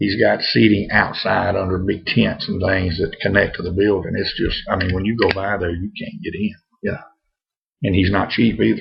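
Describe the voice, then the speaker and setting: A man in a North Louisiana accent, with a relaxed tone at a moderate pace. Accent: North Louisiana accent, sticks out. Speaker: pipe smoking vlogger. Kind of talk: casual vlog monologue. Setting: home. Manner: relaxed, halting with fillers.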